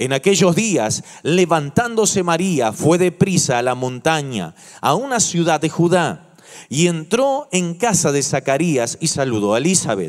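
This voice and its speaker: Quiet surroundings, and a man's voice at a fairly slow pace. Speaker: pastor. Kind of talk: sermon. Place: church. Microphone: handheld.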